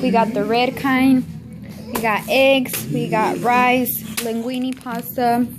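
Over faint background noise, a woman speaks slowly at a fairly high pitch with little pitch movement.

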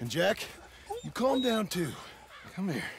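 A put-on character voice with vocal fry and big pitch swings moves at a fairly slow pace. Faint background noise is present. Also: man, high pitch for a man.

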